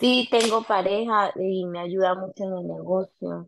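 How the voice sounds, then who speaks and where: At a very slow pace and with fairly even intonation, the voice comes through in a dry sound with no echo over light background noise. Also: woman. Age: 30s. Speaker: nail salon owner. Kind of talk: mentoring session. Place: home room. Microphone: video call.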